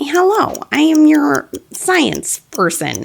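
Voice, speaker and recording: A put-on character voice, female-sounding and high-pitched, delivered at a very slow pace. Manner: cheery, instructive.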